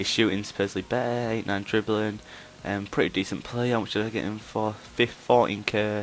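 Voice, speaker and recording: Here a man speaks with a fairly low pitch. His intonation is monotone and flat. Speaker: gaming YouTuber. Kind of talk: gameplay commentary. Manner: fast; hesitant, many ums.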